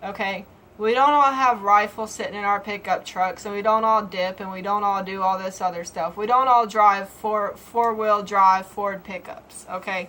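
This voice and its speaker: A woman with a strong Southern US accent, medium in pitch, bright and sharp in tone, at a moderate pace with fairly even intonation and big swings in loudness. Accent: Southern US, heavy. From Georgia, US South. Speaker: vlogger. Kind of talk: casual vlog monologue. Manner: halting.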